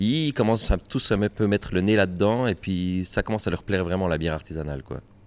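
Speaking fairly quickly, a man's voice sounds very deep and low. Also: ordinary pitch variation. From Ajoie, Jura, Switzerland. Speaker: beer sales rep. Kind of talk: casual interview. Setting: brewery.

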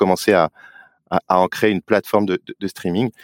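With a very deep, low pitch and monotone, flat intonation, a man speaks at a fairly quick pace in a dry, close sound with no echo, on a very clean recording with a silent background. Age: 40s. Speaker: advertising operations director at a sports broadcaster. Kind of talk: interview.

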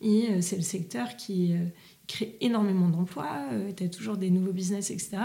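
A somewhat breathy woman's voice with a dark, mellow tone, medium pitch, ordinary pitch variation and a fairly slow pace. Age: 30s. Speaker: restaurant entrepreneur. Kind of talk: casual interview.

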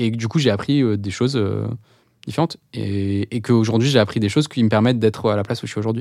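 The speech runs at a very fast pace with fairly even intonation. The recording is very clean, with a silent background. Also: man. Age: 30s. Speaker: product executive at a tech company. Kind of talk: interview. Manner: halting.

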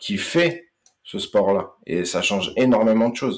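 The recording is very clean, with a silent background. A man talks at a medium pitch with lively intonation. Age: 30s. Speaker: mental coach for combat sports. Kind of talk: podcast interview. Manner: halting, many hesitations.

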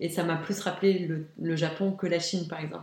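There is noticeable background noise as a woman speaks at a fairly low pitch. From Luxembourg. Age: young. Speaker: graphic designer. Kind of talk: interview. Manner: animated.

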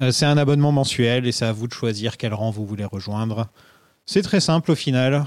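With a normal speaking voice, a man talks at a moderate pace and medium pitch with ordinary pitch variation, in a very clean recording with a silent background. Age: 30s. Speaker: podcast host. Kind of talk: casual chat.

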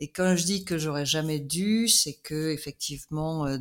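Her pitch very deep and low, a woman speaks at a fairly slow pace with ordinary pitch variation on a very clean recording with a silent background. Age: 60s. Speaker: coach. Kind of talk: interview.

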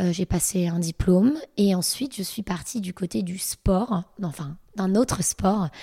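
A woman with a dark, mellow, somewhat breathy tone speaks at a medium pitch and fairly slow pace, with ordinary pitch variation. The sound is dry and close, with no echo. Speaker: fitness coach. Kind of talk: interview.

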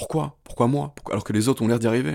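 Over a very clean recording with a silent background, a man speaks in an intense tone at a very fast pace. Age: 20s. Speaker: podcast host. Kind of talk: motivational monologue.

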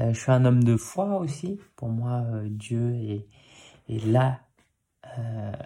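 A man's somewhat breathy voice of medium pitch, dark and mellow in tone, with ordinary pitch variation, in a very clean recording with a silent background. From Paris, Belleville. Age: 30s. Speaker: podcast host, new father. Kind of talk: personal monologue. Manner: hesitant, many fillers.

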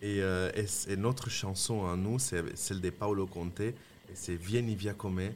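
A man speaks at a fairly slow pace. His pitch is fairly low, and his intonation is fairly even. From Italy, Lombardy (Mantua). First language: Italian (speaking French). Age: 30s. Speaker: restaurateur and chef. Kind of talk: casual interview.

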